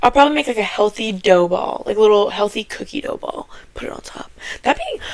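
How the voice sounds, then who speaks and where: A woman speaking at a very fast pace, animated in tone, with big swings in loudness over noticeable background noise. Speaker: podcast co-host. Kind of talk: casual chat.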